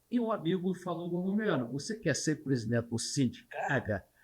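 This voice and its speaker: A somewhat breathy man's voice with very wide pitch swings, on a very clean recording with a silent background. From Brazil, Paraná. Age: 80s+. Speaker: retired trucking industry leader. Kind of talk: interview, reminiscing.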